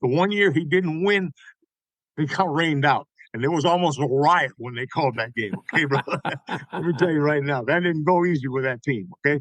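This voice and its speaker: Recorded with a dry, close sound and no echo, a man speaks in a normal speaking voice at a fairly high pitch. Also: ordinary pitch variation. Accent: American. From Tampa, Florida (West Tampa). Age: 60s. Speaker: songwriter and baseball historian. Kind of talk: casual interview chat.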